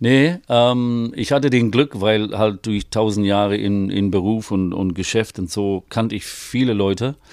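Speaking very slowly, a man uses a fairly low pitch with ordinary pitch variation. The recording is very clean, with a silent background. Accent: English. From northeast England. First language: English (speaking German). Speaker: vocal coach and singer-songwriter. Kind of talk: casual interview. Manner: halting, many fillers.

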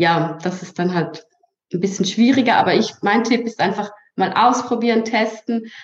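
Speaking in a Swiss German accent, a woman keeps a moderate pace. Her voice is somewhat breathy, with ordinary pitch variation. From Switzerland. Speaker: social media strategist. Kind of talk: interview.

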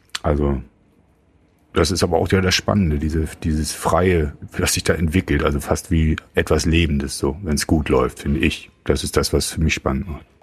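A man speaks with a very deep, low pitch and vocal fry. His intonation is fairly even and his pace moderate. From Germany. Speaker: rock musician. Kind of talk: casual chat. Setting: studio.

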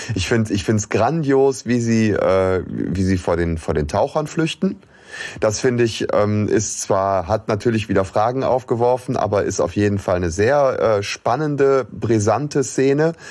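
A man with an unremarkable speaking voice talks at a fairly slow pace, his medium pitch carried by lively intonation. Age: middle-aged. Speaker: podcast co-host. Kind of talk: casual chat.

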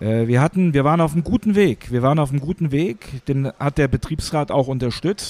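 A man's fairly high-pitched voice at a moderate pace with lively intonation. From Hesse, Germany. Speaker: works council chairman. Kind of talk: interview. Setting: café.

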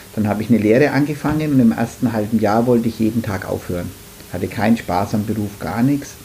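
A man talks at a very fast pace with medium pitch and ordinary pitch variation. Noticeable background noise is present. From Franconia, Nuremberg. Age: 50s. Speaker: florist, flower shop owner. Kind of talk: casual interview.

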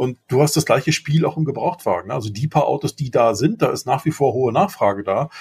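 Very fast and somewhat breathy, a man talks with lively intonation and a fairly high pitch in a dry, close sound with no echo. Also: hardly any pauses. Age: 50s. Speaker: podcast co-host, father. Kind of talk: casual chat.

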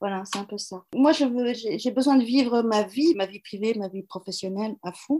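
A woman speaks in a plain, everyday voice with a fairly high pitch and ordinary pitch variation. Her fairly slow delivery has hardly any pauses and big swings in loudness. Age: 60s. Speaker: HR consultant and coach. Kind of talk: interview.

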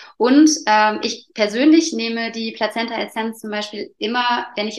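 Her voice sits at a fairly high pitch as the woman speaks. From Allgäu, southern Germany. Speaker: placenta encapsulation practitioner. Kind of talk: interview. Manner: hesitant, many fillers.

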